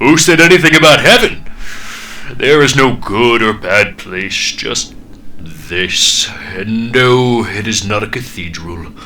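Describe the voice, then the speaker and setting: Putting on a booming character voice at medium pitch, a man speaks fairly slowly with lively intonation over clear background noise. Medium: read story. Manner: condescending, intimidating.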